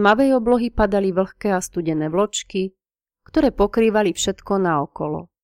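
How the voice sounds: The background is quiet. This is a natural reading voice.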